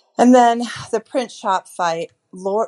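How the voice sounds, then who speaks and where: With an American accent and lively intonation, a woman is heard in a dry, close sound with no echo over a quiet background. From Chicago. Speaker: listener leaving voicemail. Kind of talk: voicemail rant. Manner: animated.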